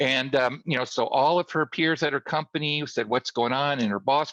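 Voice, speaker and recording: A man talks at a fairly quick pace in a fairly high, bright, sharp voice with ordinary pitch variation. The sound is dry and close with no echo, and the background is quiet. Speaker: LinkedIn marketing trainer. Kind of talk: webinar presentation. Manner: fast.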